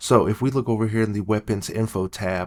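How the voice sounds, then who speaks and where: Quiet and fairly low-pitched, the man speaks at a moderate pace in a monotone, flat delivery. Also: very clean recording, silent background. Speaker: gaming youtuber. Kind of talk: gameplay tutorial. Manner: quiet, low-voiced.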